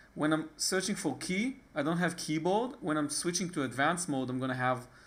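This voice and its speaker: A man's fairly high-pitched voice with an Israeli accent and lively intonation. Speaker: tech tutorial maker. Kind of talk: tutorial. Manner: casual, with hesitations.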